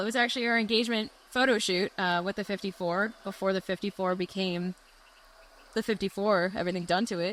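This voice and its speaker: The speaker sounds animated. The pace is fairly quick. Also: woman. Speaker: car channel vlogger. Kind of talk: casual chat. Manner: loud.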